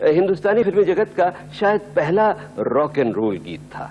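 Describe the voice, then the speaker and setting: A man's voice swings very widely in pitch while noticeable background noise plays behind it. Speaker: radio and TV host (countdown show presenter). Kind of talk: radio-style music countdown compering. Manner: warm, engaging, conversational.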